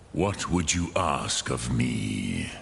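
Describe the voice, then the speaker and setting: Clear background noise runs behind this clip. A man does a put-on character voice at a very deep, low pitch. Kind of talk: epic fantasy game dialogue. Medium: video game. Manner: slow, measured, sprinkling dragon-tongue words.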